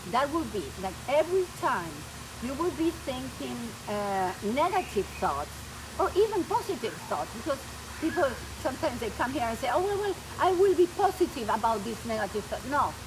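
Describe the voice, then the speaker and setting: Noticeable background noise sits behind a woman speaking at a moderate pace. Her high voice makes very wide pitch swings. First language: Spanish. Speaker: spiritual coach. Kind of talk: presentation. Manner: halting.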